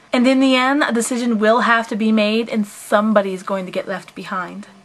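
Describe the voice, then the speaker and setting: A woman speaks at a fairly quick pace in a fairly high voice, with noticeable background noise. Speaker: anime reviewer. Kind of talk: casual talk to camera.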